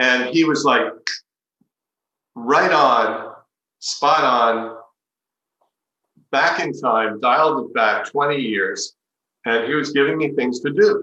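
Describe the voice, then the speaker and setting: Speaking at a very slow pace with long, frequent pauses, a man with a fairly high pitch and a bright, sharp tone shows ordinary pitch variation. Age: 60s. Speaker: spiritual teacher. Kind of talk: talk.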